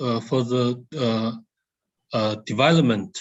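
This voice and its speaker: A man's voice at medium pitch, with ordinary pitch variation. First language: Chinese. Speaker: nuclear research scientist. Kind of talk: Q&A answer at webinar. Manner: halting, many hesitations.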